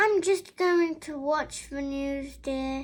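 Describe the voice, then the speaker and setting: A woman uses a put-on character voice pitched high. She speaks at a very slow pace. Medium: read story.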